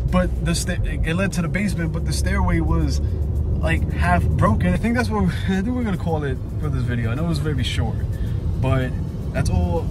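Over music in the background, a man talks at a fairly quick pace with a dry sound with no echo. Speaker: urban explorer vlogger. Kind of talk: casual vlog chat. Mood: shaken, relieved, nervous. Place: car. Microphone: phone near.

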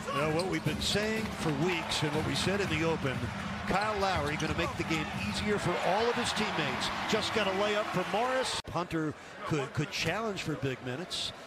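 Speech at a moderate pace comes through with a dry sound and no echo, over loud background noise. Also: man, ordinary pitch variation. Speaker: play-by-play announcer. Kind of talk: commentary. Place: hall.

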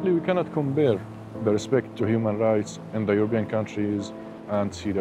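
Over music in the background, a man with a fairly low voice talks at a fairly quick pace with ordinary pitch variation, and the sound is dry with no echo. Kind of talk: interview answer. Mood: calm, serious. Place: waterside. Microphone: lapel.

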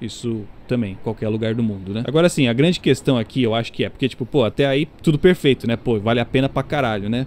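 A man with a medium pitch rattles along at a very fast pace with hardly any pauses and ordinary pitch variation. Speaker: YouTuber and game studio worker. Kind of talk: casual vlog monologue.

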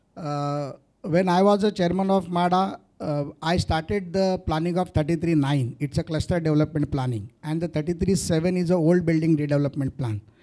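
A man with an Indian accent speaks at a moderate pace in a high pitch, with a dark, mellow tone and ordinary pitch variation against a quiet background. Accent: Indian (Marathi) English. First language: Marathi. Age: young. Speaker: businessman and politician; interview guest. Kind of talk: interview before live audience. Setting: stage with audience. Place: hall. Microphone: handheld.

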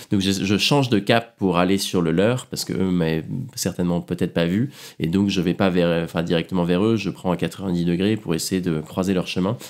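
Delivery is at a moderate pace with ordinary pitch variation. The recording is very clean, with a silent background. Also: man, very deep, low pitch for a man. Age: 20s. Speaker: polar adventurer. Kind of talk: interview, casual. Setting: at home. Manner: hesitant, many fillers.

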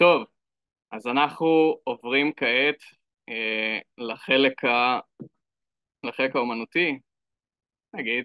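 Speaking with an Israeli accent at a very slow pace, with long, frequent pauses and ordinary pitch variation. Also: man, medium pitch for a man. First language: Hebrew. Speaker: event host and moderator. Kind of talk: event moderation. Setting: live event with audience. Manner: halting, many fillers.

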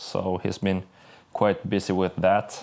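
Against a quiet background, a man with a very deep, low pitch speaks at a very slow pace. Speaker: car project vlogger. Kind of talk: casual vlog chat. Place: garage. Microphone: phone near.

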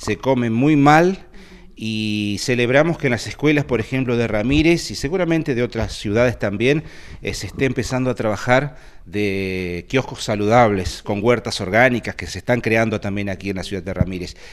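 At a moderate pace, a man uses a normal speaking voice at medium pitch with lively intonation. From Argentina. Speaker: local news interviewer. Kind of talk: interview.

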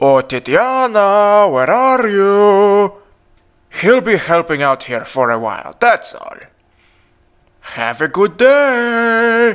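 A man puts on a character voice in a Russian accent, pitched high with very wide pitch swings. He talks at a very slow pace. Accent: imitated Russian. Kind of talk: voice audition. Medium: dub.

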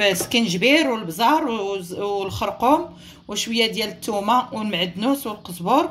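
A woman speaks in an ordinary speaking voice at a fairly high pitch with lively intonation. Her pace is moderate, with light background noise. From Morocco. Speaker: cooking channel host. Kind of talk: cooking tutorial. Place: kitchen. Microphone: phone near.

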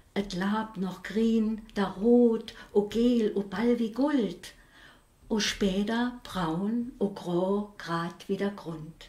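Heard with audible room echo, this voice moves at a very slow pace with ordinary pitch variation. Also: woman. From Saarland, Saarlouis; Saarland. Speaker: dialect poet. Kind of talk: poetry reading. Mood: calm, reflective. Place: home room.

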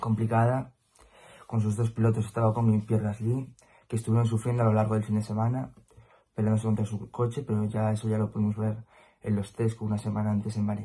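At a fairly quick pace, a man talks in a fairly low pitch with a dark, mellow tone, a slightly husky edge and monotone, flat intonation.

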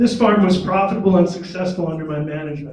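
There is audible room echo around a man's high-pitched voice. His intonation is fairly even. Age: 70s. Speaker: city council candidate, retired dairy farm manager. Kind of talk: candidate forum introduction. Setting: public forum with audience and microphones.

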